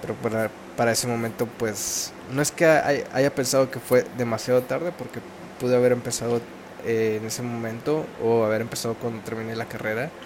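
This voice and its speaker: A man's medium-pitched voice with a Mexican accent, a moderate pace, fairly even intonation and noticeable background noise. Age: 20s. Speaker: podcaster. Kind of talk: casual monologue. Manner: halting.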